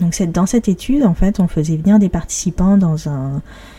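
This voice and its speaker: In a normal speaking voice, a woman talks at a fairly slow pace with a fairly low pitch and ordinary pitch variation. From Paris, France. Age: 30s. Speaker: podcast host and blogger. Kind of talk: solo podcast monologue. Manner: cheerful, laughs often.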